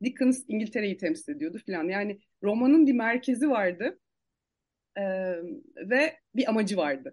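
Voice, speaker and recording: Her pitch is fairly high, with very wide swings. The woman speaks at a fairly slow pace. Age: 40s. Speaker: publisher and architect. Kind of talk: podcast interview. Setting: at home, remote recording.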